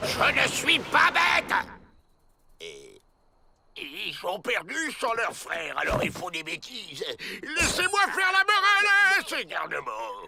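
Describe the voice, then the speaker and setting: A cartoonish character voice delivered at a fairly slow pace. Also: man, extremely high pitch for a man. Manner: irritable, bossy.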